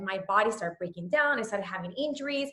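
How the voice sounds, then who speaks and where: Talking at a fairly quick pace, a woman with a Spanish accent has a fairly high pitch. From Puerto Rico. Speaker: fitness trainer. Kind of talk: casual talk to a group call. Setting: group call. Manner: rambling, many fillers.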